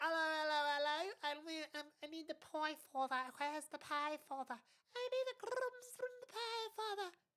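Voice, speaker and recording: Here is a put-on character voice in a British accent, pitched high. The pace is moderate. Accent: exaggerated British. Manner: overly pronounced, posh.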